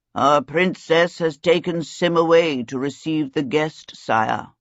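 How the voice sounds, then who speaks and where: Using a put-on character voice, a man speaks raspily at a fairly slow pace in a fairly high pitch. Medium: read story. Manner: apologetic, deferential.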